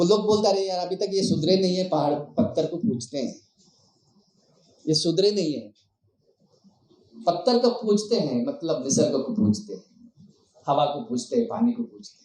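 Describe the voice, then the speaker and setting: His voice is high-pitched with a dark, mellow tone, and this man uses lively intonation while leaving long, frequent pauses. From Gadchiroli, Maharashtra (Bhamragad area). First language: Madia (Gondi) (speaking Hindi). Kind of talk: public speech.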